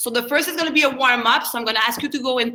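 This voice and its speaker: In a raised, projected voice, a woman speaks with high pitch and ordinary pitch variation. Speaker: karate instructor. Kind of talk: fitness class instruction.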